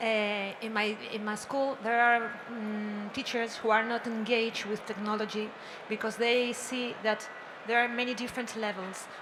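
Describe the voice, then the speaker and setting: A woman with a Spanish accent speaks at a moderate pace, her pitch fairly high and her intonation monotone and flat. Audible room echo and noticeable background noise are present. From Spain. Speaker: teacher, audience member. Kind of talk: audience question. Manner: halting.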